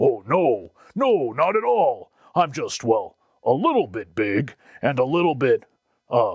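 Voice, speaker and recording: A man's put-on character voice, fairly high in pitch, at a fairly slow pace with long, frequent pauses. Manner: hesitant, sneezy.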